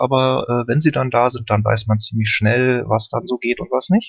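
With a normal speaking voice, a man talks at a medium pitch and uses ordinary pitch variation. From Berlin. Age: 30s. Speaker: caller. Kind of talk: casual chat.

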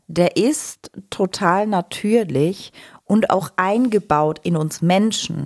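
On a very clean recording with a silent background, a woman with a medium pitch speaks at a very slow pace in a dry, close sound with no echo. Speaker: podcast host and agile coach. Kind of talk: casual podcast conversation. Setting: office.

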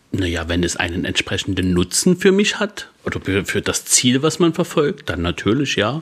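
Very wide pitch swings run through a man's medium-pitched voice. He speaks at a moderate pace and sounds somewhat breathy. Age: 30s. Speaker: podcast co-host and DJ. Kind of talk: casual chat.

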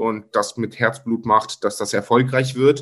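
The speaker is a man. He talks at a medium pitch. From Germany, Cologne. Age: 30s. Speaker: content creator. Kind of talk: interview.

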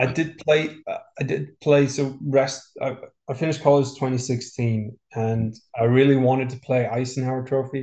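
The man has an Icelandic accent and a dark, mellow tone. He speaks with monotone, flat intonation. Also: medium pitch for a man, moderate pace. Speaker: professional golfer. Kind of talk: interview.

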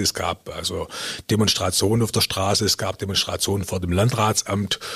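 His pitch sits fairly low. There is a somewhat breathy quality to this man's voice. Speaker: retired district administrator. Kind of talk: interview. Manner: hesitant with fillers.

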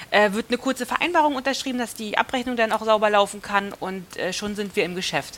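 Words pour out very fast. Noise in the background is noticeable. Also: woman, fairly high pitch for a woman, ordinary pitch variation, hardly any pauses. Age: 30s. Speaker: mortgage finance manager. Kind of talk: casual interview.

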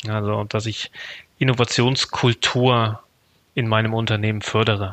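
The speech is monotone and flat, at a fairly slow pace, with a dry, close sound, no echo and a quiet background. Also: man. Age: 30s. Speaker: network manager. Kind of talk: interview.

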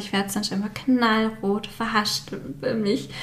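Against noticeable background noise, a woman speaks at a moderate pace and a fairly high pitch in a monotone, flat delivery. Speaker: graphic designer and stationery label founder. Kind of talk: casual interview. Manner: many filler sounds.

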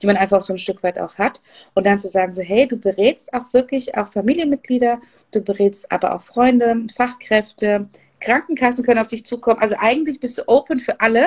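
A woman's normal speaking voice, fairly high in pitch, at a fairly quick pace with ordinary pitch variation and a dry, close sound with no echo. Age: 40s. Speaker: business coach and podcast host. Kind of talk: interview. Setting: Instagram live video.

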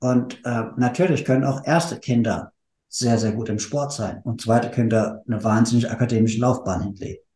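A man talks at a moderate pace. His tone is dark and mellow, and somewhat breathy. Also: medium pitch for a man. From Hesse, Frankfurt area. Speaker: marketing manager. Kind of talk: casual chat.

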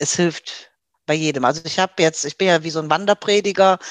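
Against a quiet background, a woman's very deep, low pitch comes through with fairly even intonation in a dry, close sound with no echo. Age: 50s. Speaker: former weight-loss program participant, administrative worker. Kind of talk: interview, personal testimony. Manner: hesitant, many filler sounds.

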